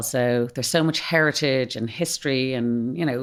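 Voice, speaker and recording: In an Irish accent, a woman speaks with a very deep, low pitch. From Ireland, Malahide (north Dublin). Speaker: drinks company executive. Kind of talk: podcast interview. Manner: animated.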